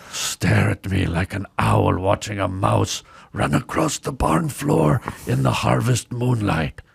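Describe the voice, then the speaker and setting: A man's raspy put-on character voice, very deep and low, with very wide pitch swings at a fairly slow pace. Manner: theatrical, sultry.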